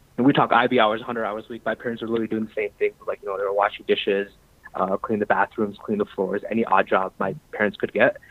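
This man talks at a very fast clip in a medium pitch, with fairly even intonation, big swings in loudness, and noticeable background noise. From US Midwest (Michigan, Chicago), born in Pakistan. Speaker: finance professional sharing life story. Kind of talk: interview.

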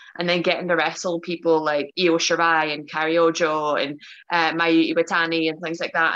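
A woman's bright, sharp tone at fairly low pitch, delivered at a moderate pace. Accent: Northern Irish. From Northern Ireland, Belfast. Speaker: professional wrestler. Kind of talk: casual chat. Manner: talkative.

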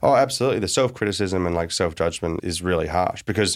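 In a very clean recording with a silent background, a man talks at a very fast pace. He has an Australian accent and a very deep, low pitch. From Australia, small town. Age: 30s. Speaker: tech founder and investor. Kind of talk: interview.

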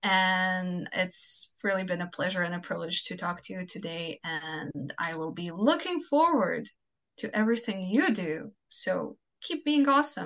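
A woman with a Croatian accent speaks fairly slowly at a medium pitch, her intonation lively and her loudness swinging widely. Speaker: fanfiction author. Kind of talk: casual interview chat.

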